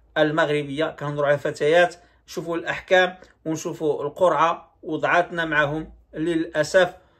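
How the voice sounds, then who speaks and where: Against a quiet background, a man with a Moroccan accent speaks with monotone, flat intonation. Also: moderate pace. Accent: Moroccan Darija. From Morocco. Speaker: YouTube commentator. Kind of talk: video commentary. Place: home room. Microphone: phone near.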